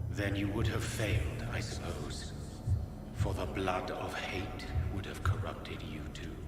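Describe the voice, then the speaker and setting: Whispering in a put-on character voice, a man is heard through loud background noise and clear echo. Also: moderate pace. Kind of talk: archaic formal speech. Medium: game stream. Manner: cryptic, archaic, measured.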